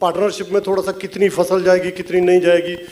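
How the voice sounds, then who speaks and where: Against noticeable background noise, a man with a Punjabi accent talks in a high pitch. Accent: Punjabi-tinged Hindi. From Punjab, India. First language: Punjabi (speaking Hindi). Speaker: film writer-director. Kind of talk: stage speech at film music launch.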